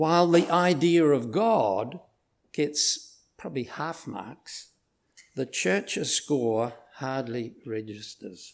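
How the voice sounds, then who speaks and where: Talking at a very slow pace, a man with a New Zealand accent and fairly high pitch uses lively intonation. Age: old. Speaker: visiting preacher. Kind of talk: sermon. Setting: church.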